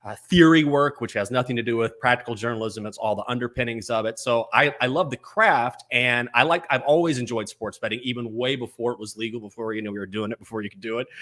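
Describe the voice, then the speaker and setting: Talking very fast with big swings in loudness, a man speaks with an American accent. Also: medium pitch for a man, ordinary pitch variation, hardly any pauses. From West Texas (Breckenridge). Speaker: sports betting show host. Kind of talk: podcast interview.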